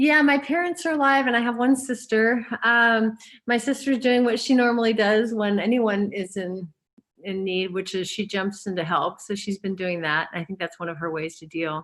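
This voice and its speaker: Against a quiet background, a woman with a plain, everyday voice speaks at a moderate pace and a fairly high pitch, with lively intonation. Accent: American. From US Pacific Northwest, Gig Harbor, Washington. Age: 60s. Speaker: therapist and author. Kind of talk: interview.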